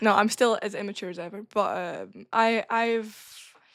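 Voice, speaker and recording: The speaker has a northern Scottish accent. The intonation stays fairly even. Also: woman. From northern Scotland, Caithness. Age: 20s. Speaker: wrestling trainee. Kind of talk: casual chat.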